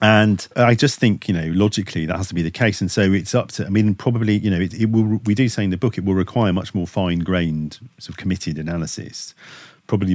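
A man's very deep, low voice at a fairly quick pace with ordinary pitch variation, in a very clean recording with a silent background. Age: 50s. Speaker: professor. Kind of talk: interview. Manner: halting, many self-corrections and repetitions.

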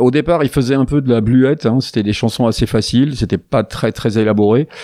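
Spoken at a moderate pace, the voice has a dark, mellow tone and ordinary pitch variation. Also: man. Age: old. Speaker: radio show host. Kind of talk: casual chat. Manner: halting.

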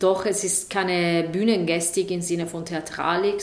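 A woman with an Italian accent speaks fairly slowly at a medium pitch, her intonation flat and monotone. Noticeable background noise and audible room echo fill the recording. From southern Italy, Taranto. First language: Italian (speaking German). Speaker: sound artist. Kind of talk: interview. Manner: halting.

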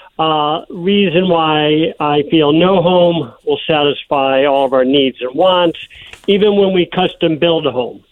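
A man with a fairly high voice talks fairly slowly, his pitch varying in an ordinary way. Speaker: homeowner. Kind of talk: interview. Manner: hesitant.

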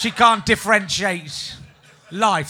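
A man with an English accent speaks in a bright, sharp tone. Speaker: comedian and podcast host. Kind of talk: live comedy podcast. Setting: stage with audience.

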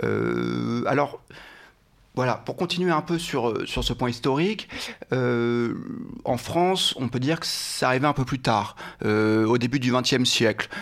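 Very slowly and with long, frequent pauses, a man speaks with ordinary pitch variation. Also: medium pitch for a man. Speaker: former lobbyist, trainee judge. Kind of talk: interview. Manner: hesitant, many fillers; warm.

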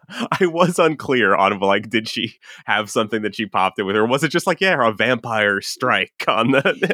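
A normal speaking voice with lively intonation at a moderate pace. The sound is dry and close, with no echo. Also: man, medium pitch for a man. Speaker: podcast guest. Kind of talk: casual chat.

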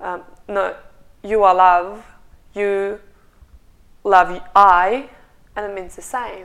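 A woman speaks with a Russian accent. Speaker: meditation studio co-founder. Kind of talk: casual chat. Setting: studio. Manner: passionate.

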